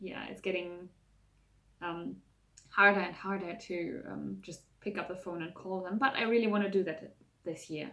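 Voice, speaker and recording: Pausing long and often, a woman with a medium pitch keeps her intonation fairly even while her loudness swings widely. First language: German. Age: 20s. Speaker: vlogger. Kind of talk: casual vlog talk to camera. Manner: casual, with many fillers.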